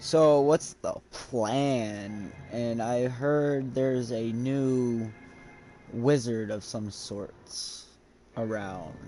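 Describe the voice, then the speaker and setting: A man speaks at a very slow pace in a put-on character voice. His pitch sits in the medium range. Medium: actual play. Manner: casual, laid-back.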